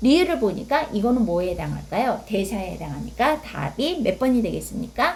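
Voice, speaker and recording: A woman talks at a moderate pace. Noticeable noise sits in the background. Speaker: exam prep tutor. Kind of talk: tutorial. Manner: halting with fillers.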